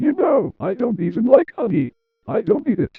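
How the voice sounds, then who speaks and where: A man puts on a character voice at an extremely high pitch, swinging very widely in pitch at a moderate pace. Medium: short film. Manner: petulant, self-important.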